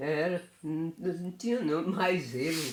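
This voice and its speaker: Noticeable background noise sits behind a woman speaking at a very slow pace. Her pitch is fairly low, with ordinary pitch variation. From Afogados da Ingazeira, Pernambuco, Brazil. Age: 80s+. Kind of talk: interview answer.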